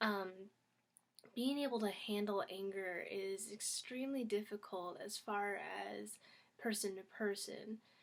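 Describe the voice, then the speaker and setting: Quiet and fairly slow, a woman speaks at a medium pitch with fairly even intonation. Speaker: YouTuber. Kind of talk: casual vlog talk. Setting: at home.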